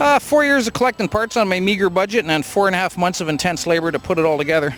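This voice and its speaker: A man with a Canadian accent talks very fast at a high pitch, his intonation lively. Noticeable background noise is present. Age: 60s. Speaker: hot rod builder. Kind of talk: casual interview at car show.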